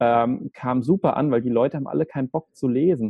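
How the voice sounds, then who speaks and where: An ordinary speaking voice from a man, medium in pitch, with ordinary pitch variation and a fairly quick pace. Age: 20s. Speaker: video agency director. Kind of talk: interview.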